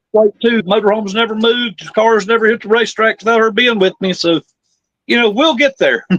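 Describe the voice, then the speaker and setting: Speaking at a fairly quick pace with a Southern US accent, a man uses an extremely high pitch and fairly even intonation, captured as a dry, close sound with no echo. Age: 60s. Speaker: drag racer. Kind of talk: interview.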